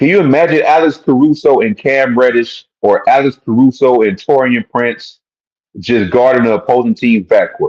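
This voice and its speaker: At a moderate pace, a man with a normal speaking voice talks with lively intonation and very even loudness in a dry, close sound with no echo. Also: medium pitch for a man. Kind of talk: casual sports fan commentary talking to camera. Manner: casual, conversational, repetitive.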